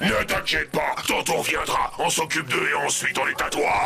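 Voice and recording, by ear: Over clear background noise, a man puts on a cartoonish character voice with a fairly high pitch. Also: moderate pace.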